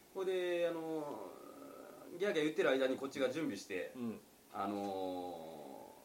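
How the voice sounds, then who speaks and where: A man's fairly high voice with very wide pitch swings, a moderate pace and long, frequent pauses, amid noticeable background noise and audible room echo. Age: 40s. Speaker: restaurant owner. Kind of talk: casual chat.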